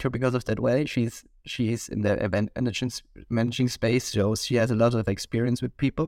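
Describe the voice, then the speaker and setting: On a very clean recording with a silent background and a dry, close sound with no echo, a man with an Austrian accent speaks at a medium pitch and a fairly quick pace. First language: German. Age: 20s. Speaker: podcast co-host and university student. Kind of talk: casual chat.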